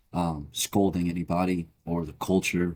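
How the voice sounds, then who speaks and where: A man's very deep, low voice with a dark, mellow tone and a calm, relaxed tone, on a very clean recording with a silent background. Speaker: podcast co-host. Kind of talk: casual chat. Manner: monotone.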